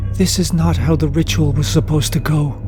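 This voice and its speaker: With loud music in the background, a man uses a put-on character voice, very deep and low, at a fairly quick pace. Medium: read story.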